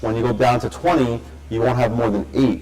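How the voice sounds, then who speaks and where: Over noticeable background noise, a man at medium pitch talks at a fairly quick pace with lively intonation. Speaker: school principal. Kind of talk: parent meeting talk. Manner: fast.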